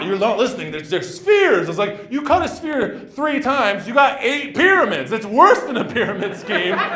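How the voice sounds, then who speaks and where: Projected and raised, the voice moves at a fairly quick pace with hardly any pauses and very wide pitch swings over noticeable background noise. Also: man, extremely high pitch for a man. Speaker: stand-up comedian. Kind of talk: live stand-up comedy set. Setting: comedy club, live audience. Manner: fast.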